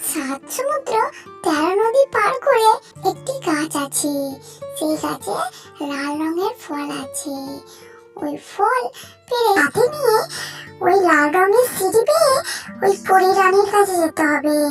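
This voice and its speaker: Clear music plays in the background as a cartoonish character voice speaks at a fairly slow pace. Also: woman, extremely high pitch for a woman. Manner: gentle.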